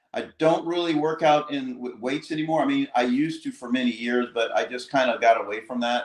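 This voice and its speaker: This man has a fairly high pitch and fairly even intonation. He has an unremarkable speaking voice. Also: fairly quick pace. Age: 60s. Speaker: cyclist and livestream guest. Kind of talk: casual chat. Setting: livestream.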